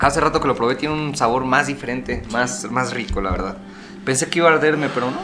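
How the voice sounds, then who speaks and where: A man speaks at a very fast pace and a medium pitch. His pitch varies in an ordinary way over noticeable background noise. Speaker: podcast co-host. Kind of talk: casual chat.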